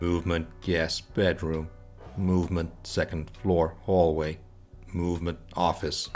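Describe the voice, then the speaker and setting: A put-on, robotic character voice speaks at a fairly slow pace with monotone, flat intonation. Background noise is clear. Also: man, very deep, low pitch for a man. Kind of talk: flat monotone.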